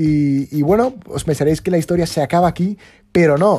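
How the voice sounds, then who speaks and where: Music plays in the background. A man speaks in an animated tone with ordinary pitch variation. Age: 20s. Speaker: podcast host. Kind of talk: casual chat.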